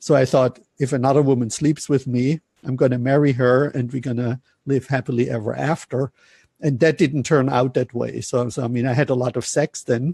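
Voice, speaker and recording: A man with a German accent speaks at a moderate pace and a medium pitch, his fairly even intonation and somewhat breathy, dark, mellow tone captured in a dry, close sound with no echo against a quiet background. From Germany. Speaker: relationship coach. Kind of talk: interview.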